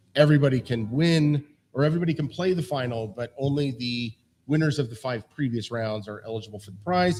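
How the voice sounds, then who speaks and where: A man speaks at a very fast pace, medium in pitch. His voice is somewhat breathy, with ordinary pitch variation. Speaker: quiz show host. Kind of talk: quiz show explanation of rules. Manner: casual, many fillers.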